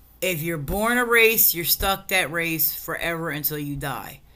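Amid audible room echo, a woman with a fairly low pitch sounds animated, using ordinary pitch variation. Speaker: cannabis podcast host. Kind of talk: casual solo rant.

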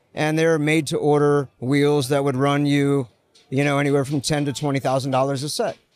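A man with a fairly high pitch talks at a fairly quick pace in a flat, monotone intonation. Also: very even loudness. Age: 40s. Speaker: wheel brand founder. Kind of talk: casual interview.

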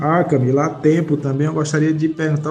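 A fairly high-pitched man races along very fast, with noticeable noise in the background. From Brazil, Rio Grande do Norte. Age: 30s. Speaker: podcast host with Parkinson's. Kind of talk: casual chat.

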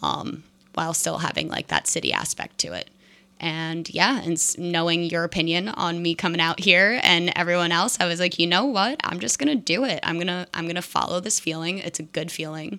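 The voice has a bright, sharp tone with vocal fry and an American accent. It moves at a fairly quick pace. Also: woman, fairly low pitch for a woman, ordinary pitch variation. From New Jersey. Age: 20s. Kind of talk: casual chat. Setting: kitchen at home.

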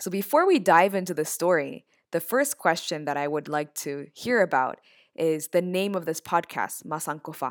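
An ordinary speaking voice from a woman with an American accent, fairly low in pitch, with lively intonation, in a very clean recording with a silent background. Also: moderate pace. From US (born in Japan, immigrant child). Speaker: university lecturer and podcast co-host. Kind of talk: interview conversation.

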